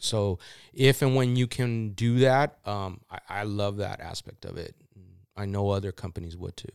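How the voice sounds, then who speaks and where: In a very clean recording with a silent background and a dry, close sound with no echo, a man with a plain, everyday voice speaks at a moderate pace and fairly low pitch, with ordinary pitch variation and big swings in loudness. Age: 40s. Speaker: off-road club podcast host. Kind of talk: casual chat.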